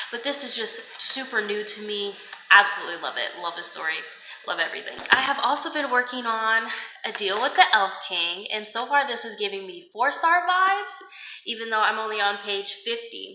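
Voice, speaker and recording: A woman's animated, fairly high voice with very wide pitch swings and big swings in loudness, plus audible room echo and noticeable background noise. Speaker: book vlogger. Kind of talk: casual reading vlog talk to camera. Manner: fast.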